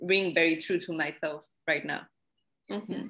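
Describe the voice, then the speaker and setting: A woman speaks with a Spanish accent. Her tone is bright and sharp. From Mexico. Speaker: poet and translator. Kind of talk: interview conversation.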